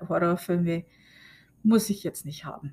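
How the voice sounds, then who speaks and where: In a very clean recording with a silent background, a woman has a plain, everyday voice, fairly low in pitch, with fairly even intonation. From Germany. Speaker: podcast host. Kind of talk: casual monologue. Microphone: new recording setup.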